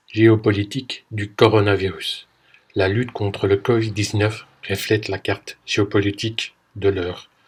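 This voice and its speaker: The intonation is monotone and flat. A man delivers his words at a fairly slow pace. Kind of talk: podcast commentary narration.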